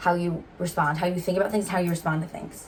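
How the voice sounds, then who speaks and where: Amid noticeable background noise, a woman speaks at a medium pitch and a very fast pace. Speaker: YouTuber, twin co-host. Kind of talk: casual chat.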